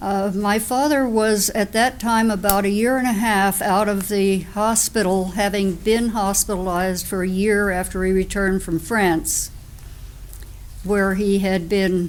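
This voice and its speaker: In a normal speaking voice, a woman with an American accent talks at a fairly slow pace, with a medium pitch, fairly even intonation and very even loudness. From US Northeast (New Jersey). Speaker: Quaker sharing life story. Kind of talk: testimony.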